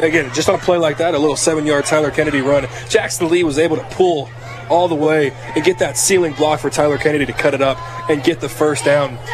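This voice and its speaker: Music plays in the background as a man talks at a very fast pace. His pitch is fairly high and his intonation fairly even. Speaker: color analyst. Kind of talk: live football color commentary and analysis. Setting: press box broadcast booth at stadium. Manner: analytical, measured, and explanatory.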